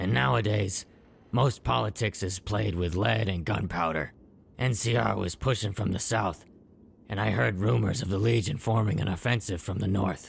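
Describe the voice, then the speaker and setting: A man puts on a raspy character voice at a fairly low pitch. He moves at a moderate pace with lively intonation. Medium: video game. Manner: wry, matter-of-fact.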